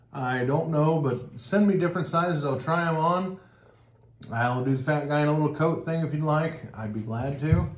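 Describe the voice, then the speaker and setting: Speaking at a moderate pace, a man with a fairly high pitch and ordinary pitch variation is heard over noticeable background noise and audible room echo. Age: 40s. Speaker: cheese tasting channel host. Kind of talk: casual chat.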